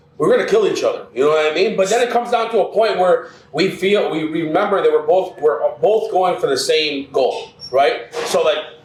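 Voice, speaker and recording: Against noticeable background noise, a man talks fairly quickly in an animated tone. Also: very even loudness. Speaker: restaurant co-owner. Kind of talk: casual interview conversation. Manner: loud.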